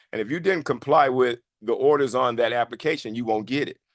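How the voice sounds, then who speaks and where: A man with an American accent and a medium pitch talks at a very fast pace in a dry, close sound with no echo over a quiet background. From Chicago. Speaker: veteran; business coach. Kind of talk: lecture. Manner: halting.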